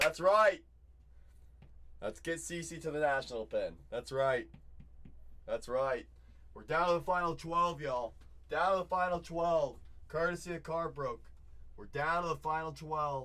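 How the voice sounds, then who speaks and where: A man talks at a fairly slow pace with long, frequent pauses. His loudness swings widely. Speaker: card breaker livestream host. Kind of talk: live card break stream.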